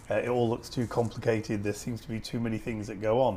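Someone speaks at a very fast pace with a Lancashire accent. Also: man. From Lancashire, Preston. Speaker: TV news editor. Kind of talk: interview. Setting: in-person conversation. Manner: halting.

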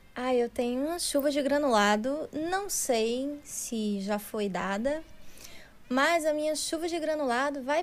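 Very slow, lively speech from a woman with a high pitch. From Ceará, Brazil. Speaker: podcast guest. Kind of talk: casual chat.

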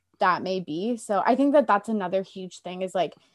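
A woman's medium-pitched voice with a Canadian accent, on a very clean recording with a silent background. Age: 20s. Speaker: podcaster. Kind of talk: casual chat.

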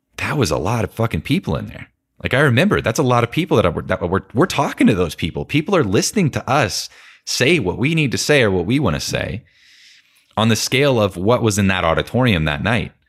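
A man with an American accent and a medium pitch, using vocal fry, at a very fast pace with very wide pitch swings, in a very clean recording with a silent background. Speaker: podcast host. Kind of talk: casual conversation interview.

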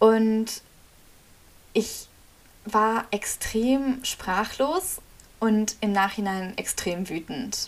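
The speech comes at a very slow pace with long, frequent pauses. Pitch variation is ordinary. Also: woman, fairly high pitch for a woman. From Germany. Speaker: podcast host. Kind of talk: monologue.

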